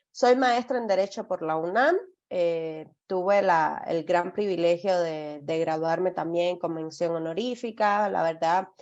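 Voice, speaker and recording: Her pace is fairly slow and her pitch fairly low. The woman's pitch variation is ordinary. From outside Mexico, Spanish-speaking country. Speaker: legal compliance consultant. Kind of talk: webinar presentation. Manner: hesitant, many fillers and repetitions.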